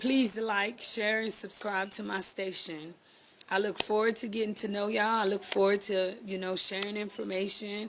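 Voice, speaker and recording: Speaking at a moderate pace, a woman with an American accent uses a medium pitch and monotone, flat intonation. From Texas, Houston. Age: 30s. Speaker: vlogger. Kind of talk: channel introduction.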